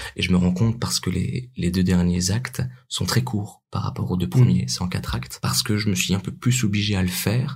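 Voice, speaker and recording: Very deep and low in pitch, a man talks at a fairly quick pace with very wide pitch swings. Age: 20s. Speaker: amateur actor and writer. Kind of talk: casual interview.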